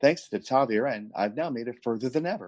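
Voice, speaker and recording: An unremarkable speaking voice is heard over a quiet background. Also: man. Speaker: podcast host. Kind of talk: casual chat.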